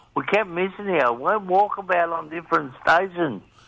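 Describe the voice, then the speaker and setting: A man with an Australian accent speaks at a high pitch with ordinary pitch variation. His pace is fairly slow. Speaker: talkback radio caller, former truck driver. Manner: casual, joking.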